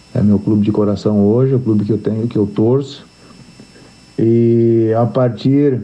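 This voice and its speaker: At a fairly slow pace, a man speaks in a medium pitch with ordinary pitch variation, and audible room echo surrounds him. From western Santa Catarina, Brazil. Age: 50s. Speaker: football coach. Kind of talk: interview. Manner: halting.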